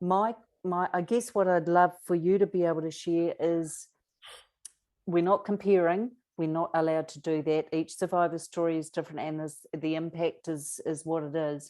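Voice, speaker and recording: A woman with a New Zealand accent, a dark, mellow tone and fairly even intonation over a quiet background. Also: fairly low pitch for a woman, moderate pace. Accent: Kiwi. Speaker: abuse survivor advocate and author. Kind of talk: interview conversation.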